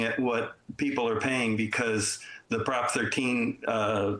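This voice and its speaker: Noticeable background noise sits under this recording. The man talks at a medium pitch with fairly even intonation. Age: 70s. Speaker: public commenter at city council meeting. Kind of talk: public comment. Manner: halting, many fillers.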